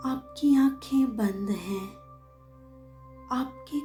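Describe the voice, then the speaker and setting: Music plays in the background as a woman speaks in a calm, soothing tone. Her pitch is fairly high and her intonation lively. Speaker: meditation guide. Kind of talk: guided meditation. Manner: calm, slow, soothing.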